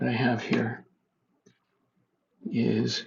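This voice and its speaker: A soft-spoken man at a very slow pace. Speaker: home cooking video maker. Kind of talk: tutorial.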